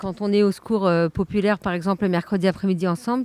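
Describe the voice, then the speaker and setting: A woman's dark, mellow tone at a fairly quick pace, dry and close with no echo, in a very clean recording with a silent background. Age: 30s. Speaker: family member and volunteer. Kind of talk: interview testimony. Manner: hesitant, many fillers.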